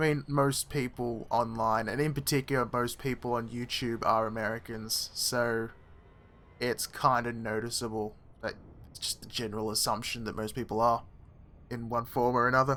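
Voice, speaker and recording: The speaker is a man with a bright, sharp tone. His intonation is monotone and flat. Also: medium pitch for a man, moderate pace. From Australia. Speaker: gaming streamer. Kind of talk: live stream chat while gaming.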